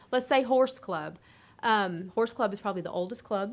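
With an American accent, a woman talks in an ordinary speaking voice, fairly high in pitch with ordinary pitch variation. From Texas. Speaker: youth development extension agent. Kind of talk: casual panel chat.

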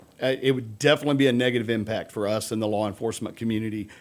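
The speaker has a Texan accent. The delivery comes at a very fast pace. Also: man. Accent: Texas English. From Texas, Humble near Houston. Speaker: police chief. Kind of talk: interview. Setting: studio.

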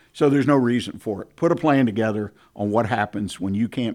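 In a very clean recording with a silent background, a man speaks with a Texan accent. His pace is fairly quick and his pitch varies in an ordinary way. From Texas, Houston. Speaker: radio host. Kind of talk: radio business talk show. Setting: studio.

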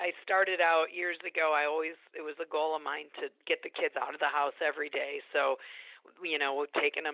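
A woman with an American accent speaks at a moderate pace in a very deep, low pitch, her intonation monotone and flat. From Chicago area, US Midwest. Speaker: stay-at-home mom returning to work. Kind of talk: radio interview. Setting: radio studio.

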